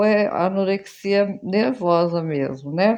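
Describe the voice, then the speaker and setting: This woman talks with lively intonation. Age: 70s. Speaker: elderly vlogger. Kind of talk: personal vlog monologue.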